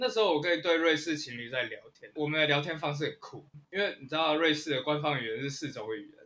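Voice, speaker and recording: Speaking at a fairly quick pace, a man with a fairly high pitch and a bright, sharp tone shows ordinary pitch variation and big swings in loudness. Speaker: author and history writer. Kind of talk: casual interview chat.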